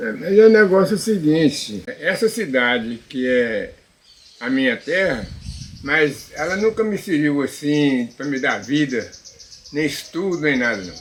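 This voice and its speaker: A man's pitch swings very widely as he talks fairly slowly amid noticeable background noise. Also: fairly high pitch for a man. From Minas Gerais, Brazil (Sete Lagoas area). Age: 80s+. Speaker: elderly local resident. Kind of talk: interview. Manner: halting, with repetitions.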